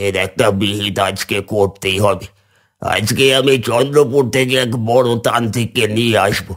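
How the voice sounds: A man puts on a cartoonish character voice with a fairly low pitch. He speaks at a fairly slow pace in a very clean recording with a silent background.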